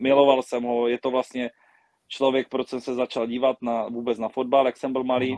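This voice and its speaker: This man talks at a medium pitch with a monotone, flat intonation. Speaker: table tennis player. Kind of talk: casual interview.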